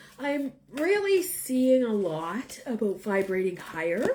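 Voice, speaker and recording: Here a woman speaks at a fairly high pitch. Her voice makes very wide pitch swings. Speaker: tarot reader. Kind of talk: live-stream tarot reading chat. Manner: casual, hesitant with fillers.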